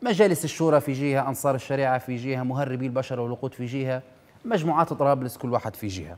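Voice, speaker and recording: Ordinary pitch variation marks a man's speech at a very fast pace. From Libya. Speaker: TV news show host. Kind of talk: political commentary monologue. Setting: TV studio, live. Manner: animated. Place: studio. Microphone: lapel.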